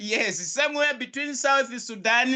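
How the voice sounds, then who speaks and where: A raised, projected voice with an energetic, bright and sharp tone comes through over a quiet background. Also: man. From South Africa. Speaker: crypto business coach. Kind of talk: live online business presentation. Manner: energetic, repetitive.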